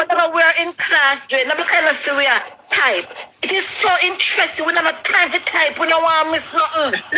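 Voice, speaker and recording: In a Jamaican accent, a woman speaks at a fairly quick pace in a raised, projected voice with very even loudness. Her pitch is extremely high with ordinary variation, and there is noticeable background noise. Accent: Jamaican Patois. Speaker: caller on live show. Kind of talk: casual chat. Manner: halting, repetitive.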